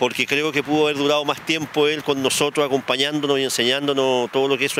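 A man talks at a very fast pace in a monotone, flat intonation. Light background noise can be heard. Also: dry sound with no echo. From Chile. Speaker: city mayor. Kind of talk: interview answer. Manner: somber. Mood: somber, grieving tribute. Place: street. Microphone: handheld.

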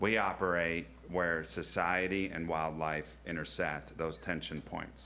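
A man with a very deep, low pitch, vocal fry and a bright, sharp tone, at a fairly slow pace with ordinary pitch variation, amid audible room echo. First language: not English. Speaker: zoo director. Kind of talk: public presentation. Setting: county board meeting.

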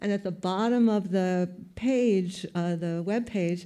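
Speaking at a very slow pace with a New York accent, a woman uses fairly even intonation and a dark, mellow tone over a quiet background. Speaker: photographer; panelist. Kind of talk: panel talk. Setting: stage with audience. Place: hall. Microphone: handheld.

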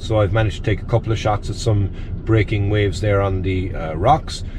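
Fairly quick speech, with noticeable background noise behind it. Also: man. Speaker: photography vlogger. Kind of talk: casual vlog chat. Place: car. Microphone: phone near.

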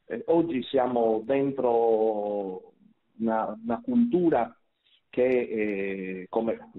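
A man with a medium pitch and ordinary pitch variation speaks in an ordinary speaking voice. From Sardinia. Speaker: priest and moral theology lecturer. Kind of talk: radio talk show interview.

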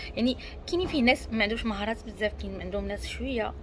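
Someone speaks with a Moroccan accent over light background noise. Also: woman. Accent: Moroccan Darija. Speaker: self-help coach. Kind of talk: self-development talk to camera. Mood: calm, reflective. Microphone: earbuds.

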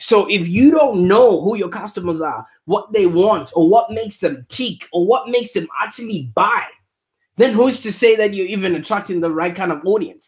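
Against a quiet background, a man speaks at a high pitch. His pace is moderate and his pitch variation ordinary. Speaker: digital marketing agency founder. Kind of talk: live-streamed business talk. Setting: live stream video, in Australia. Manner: casual, many filler words. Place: office. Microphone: studio mic.

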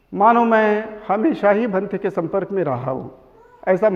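The man speaks fairly slowly at a high pitch. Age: 70s. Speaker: Buddhist order member. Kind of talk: memorial tribute talk. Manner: halting. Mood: reverent, reminiscing. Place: hall. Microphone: handheld.

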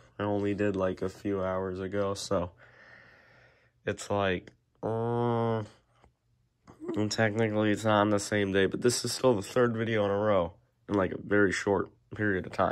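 A man talks in a monotone with flat intonation. He leaves long, frequent pauses. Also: moderate pace. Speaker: youtuber. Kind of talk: casual vlog monologue. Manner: halting.

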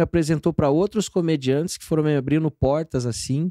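A man talks at a fairly quick pace with a fairly high pitch, ordinary pitch variation and a dark, mellow tone. The sound is dry with no echo, and the background is quiet. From Paraná, Brazil (Almirante Tamandaré, Curitiba area); Paraná, Brazil. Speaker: stand-up comedian; guest comedian. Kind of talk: casual chat. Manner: animated. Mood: jovial, laughing storytelling. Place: studio. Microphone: studio mic.

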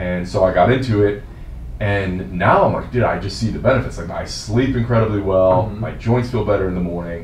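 With an American accent, a man speaks at a fairly quick pace in a fairly low voice with ordinary pitch variation. Light background noise and audible room echo are present. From New Jersey, US. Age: 40s. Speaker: fitness coach. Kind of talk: casual interview. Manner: casual, laughs often. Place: office.

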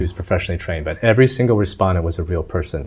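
Somewhat breathy, a man's very deep, low voice moves with ordinary pitch variation. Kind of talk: interview answer. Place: studio.

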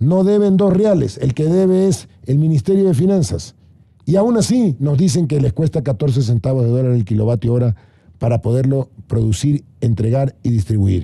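Dark and mellow in tone, a man's somewhat breathy voice moves at a moderate pace with very wide pitch swings, the sound dry with no echo over a quiet background. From Ecuador, Guayaquil; Ecuador. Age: 60s. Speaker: government adviser; guest. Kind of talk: panel debate. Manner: animated. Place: studio. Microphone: studio mic.

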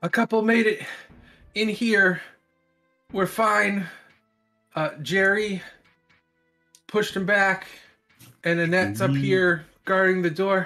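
In a put-on character voice, a female-sounding speaker talks shakily at a medium pitch and fairly slow pace, leaving long, frequent pauses over faint background music. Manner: shaky, trembling.

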